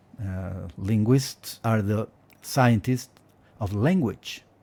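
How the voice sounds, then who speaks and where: With a Spanish accent, a man speaks at a fairly low pitch in a dark, mellow, somewhat breathy tone, with ordinary pitch variation. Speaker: Spanish teacher and linguist. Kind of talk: casual advice monologue. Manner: hesitant, with fillers and repetitions.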